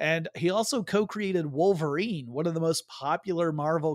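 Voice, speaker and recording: In a normal speaking voice, a man talks at a moderate pace and fairly high pitch with ordinary pitch variation, recorded very cleanly with a silent background and a dry, close sound with no echo. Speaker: podcast host. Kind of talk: casual chat. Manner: joking, conversational.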